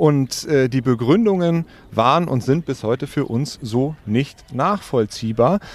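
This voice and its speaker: Very slowly, a man talks with lively intonation. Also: medium pitch for a man. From northern Germany (Wedel, near Hamburg). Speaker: angling association executive. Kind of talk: interview. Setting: outdoors by the water.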